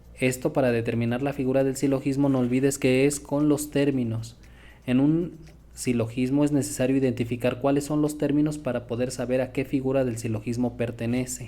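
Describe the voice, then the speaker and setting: With a dark, mellow tone and flat, monotone intonation, a man speaks at a fairly quick pace amid audible room echo. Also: medium pitch for a man. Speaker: logic teacher. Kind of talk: lecture.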